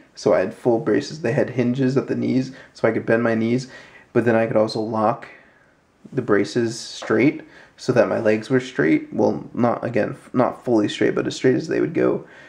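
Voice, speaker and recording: A man's medium-pitched voice with vocal fry, ordinary pitch variation, and a moderate pace. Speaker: wheelchair user with spina bifida. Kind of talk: casual talk to camera.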